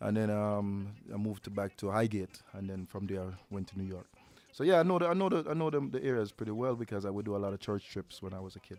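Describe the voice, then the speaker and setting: Speaking very fast, the man shows ordinary pitch variation. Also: fairly low pitch for a man. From Jamaica (Portland, St Mary). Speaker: radio host and DJ. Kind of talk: live radio interview. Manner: talkative, repetitive.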